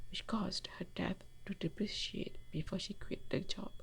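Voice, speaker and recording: A woman's voice at a fairly slow pace. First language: not English. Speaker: storyteller. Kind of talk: storytelling.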